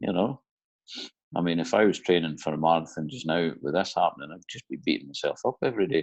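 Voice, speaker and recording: A man races along at a very fast pace in a very deep, low pitch, with lively intonation, big swings in loudness and a dry, close sound with no echo. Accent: Aberdeen. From Aberdeen, Scotland. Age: 30s. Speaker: offshore electrician. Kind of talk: interview answer.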